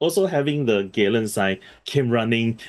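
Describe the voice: Reading aloud, plain and simple.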